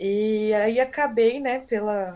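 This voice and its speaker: A woman talks at a fairly high pitch with fairly even intonation. It is an ordinary speaking voice. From Brazil, São Paulo state (Americana). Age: 20s. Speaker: nurse. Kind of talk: casual interview.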